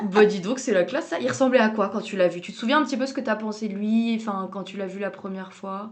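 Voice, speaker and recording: A woman at a very fast pace with hardly any pauses and big swings in loudness, amid noticeable background noise. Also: medium pitch for a woman, ordinary pitch variation. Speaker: podcast host. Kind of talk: casual podcast interview.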